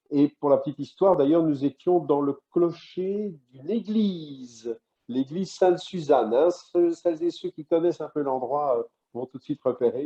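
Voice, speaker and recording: Pitch varies in an ordinary way at a moderate speed. It is a normal speaking voice. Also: man. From Belgium, Brussels. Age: 60s. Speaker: radio host. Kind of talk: interview.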